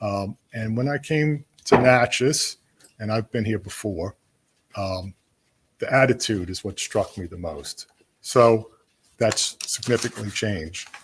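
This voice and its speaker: A somewhat breathy voice at a fairly slow pace, with long, frequent pauses and big swings in loudness, in a dry, close sound with no echo. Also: man, medium pitch for a man, ordinary pitch variation. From Louisiana. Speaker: downtown development director. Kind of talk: public meeting address. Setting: council chamber meeting.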